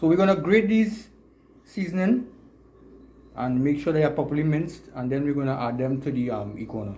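With a Trinidadian accent, a man speaks at a fairly quick pace in a fairly high pitch, his dark, mellow, somewhat breathy tone moving through very wide pitch swings, broken by long, frequent pauses. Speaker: outdoor video creator. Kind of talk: vlog narration and cooking tutorial. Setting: outdoors. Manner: animated. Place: kitchen. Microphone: phone near.

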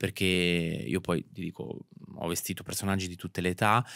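A man speaks in a very deep, low pitch, monotone and flat. The sound is dry with no echo against a quiet background. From Italy, Marche (Ancona province); Marche, Italy. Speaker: fashion stylist; interview guest. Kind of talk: interview. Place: studio. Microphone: studio mic.

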